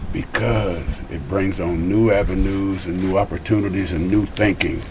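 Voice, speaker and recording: A man's very deep, low voice at a moderate pace, with ordinary pitch variation over noticeable background noise. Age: 70s. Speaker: guest, former probation officer and youth program writer. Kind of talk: casual chat.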